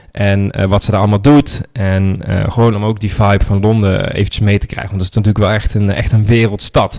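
Speaking at a fairly quick pace with hardly any pauses, a man keeps a fairly low voice in a monotone, flat intonation. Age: 30s. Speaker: podcast host, online marketing entrepreneur. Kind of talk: solo reflective monologue. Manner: casual, with many filler words.

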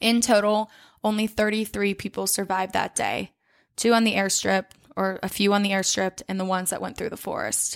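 Talking at a fairly quick pace, a woman with a medium pitch keeps a monotone, flat intonation in a very clean recording with a silent background and a dry, close sound with no echo. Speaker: true crime podcast host. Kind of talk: casual chat with storytelling. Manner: casual, conversational.

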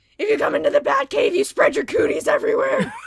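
The voice is a put-on character voice at an extremely high pitch. It races along at a very fast pace. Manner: mock-macho, overblown.

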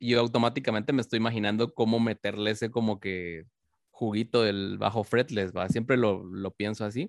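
Speaking with a Guatemalan accent, a man uses a medium pitch. His pace is moderate and his intonation fairly even. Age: 20s. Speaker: metal bassist. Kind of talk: interview.

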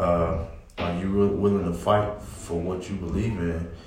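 A man's voice over noticeable background noise. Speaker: podcast co-host, military veteran and husband. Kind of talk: casual chat.

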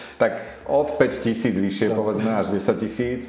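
Music plays in the background while a man talks in a fairly low voice at a moderate pace. The room echo is audible. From Slovakia, Martin. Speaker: head of a bookselling company. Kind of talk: casual interview.

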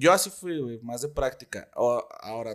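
A man with a Mexican accent speaks at a moderate pace. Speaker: rapper. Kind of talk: casual chat.

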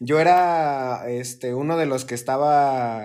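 A man's normal speaking voice at a medium pitch, with fairly even intonation. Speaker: podcast co-host. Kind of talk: casual chat.

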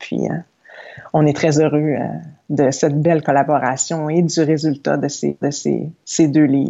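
A woman's very deep, low voice, fairly slow and monotone with flat intonation. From Quebec, Saguenay. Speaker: yoga teacher and entrepreneur. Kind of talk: interview. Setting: remote recording.

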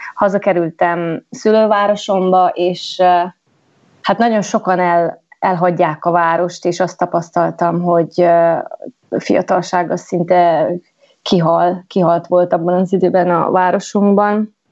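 Her loudness stays very even as the woman speaks at a very slow pace. Her pitch is fairly low and her intonation fairly even. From Transylvania, Romania (Gyergyószentmiklós). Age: 30s. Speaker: podcast guest sharing life story. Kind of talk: casual interview, personal testimony.

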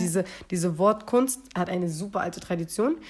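Her pace is fairly quick. This woman's pitch is medium. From Berlin, Wedding. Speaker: poetry slammer and rapper. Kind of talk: casual chat. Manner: animated.

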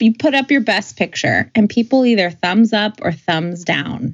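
A woman with a normal speaking voice talks at a fairly slow pace, her pitch medium and her intonation lively. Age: 30s. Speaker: podcast co-host. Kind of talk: casual chat.

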